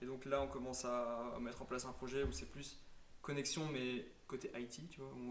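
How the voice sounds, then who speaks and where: Noticeable background noise and audible room echo are present as a man speaks. His pitch is medium and his pace moderate, with fairly even intonation. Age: 20s. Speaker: digital marketing agency founder. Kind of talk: casual interview.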